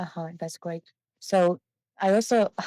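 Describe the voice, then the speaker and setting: A woman with a Mongolian accent speaks at a medium pitch and a moderate pace, her intonation fairly even. Her tone is dark and mellow, and the sound is dry and close with no echo. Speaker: webinar host, doctoral student. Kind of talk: webinar conversation.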